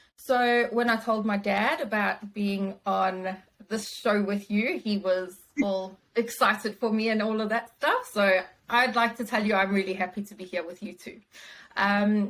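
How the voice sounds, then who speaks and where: A woman's fairly high voice at a fairly slow pace, with a slight South African accent. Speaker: wellbeing consultant and business founder. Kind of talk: interview.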